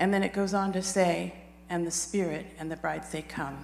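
A woman with an unremarkable speaking voice talks at a moderate pace. Her pitch is fairly low, with ordinary variation. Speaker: congregation member sharing testimony. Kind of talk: testimony and prayer.

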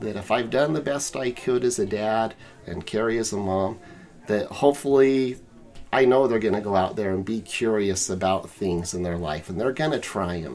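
A man with an American accent has a plain, everyday voice and a fairly low pitch. He speaks at a moderate pace with lively intonation. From Utah, US. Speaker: family guest, father. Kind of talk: casual chat.

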